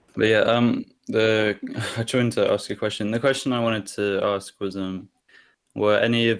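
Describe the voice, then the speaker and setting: A man with an English accent talks at a fairly slow pace in a monotone, flat intonation with a fairly low pitch. The recording is very clean, with a silent background. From England. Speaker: fan of the game. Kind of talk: casual interview chat. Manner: hesitant, many fillers.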